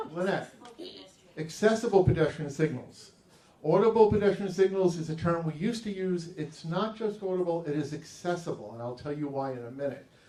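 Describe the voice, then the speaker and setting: Over noticeable background noise, a man talks at a fairly quick pace with big swings in loudness. His pitch is high and his intonation is lively. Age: 60s. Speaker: orientation and mobility specialist. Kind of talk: interactive presentation. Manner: animated, conversational.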